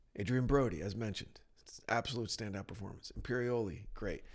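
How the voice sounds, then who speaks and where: A man with an American accent speaks at medium pitch and a fairly quick pace. His is a normal speaking voice with ordinary pitch variation. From New Jersey. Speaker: podcast host. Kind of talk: casual chat. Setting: studio.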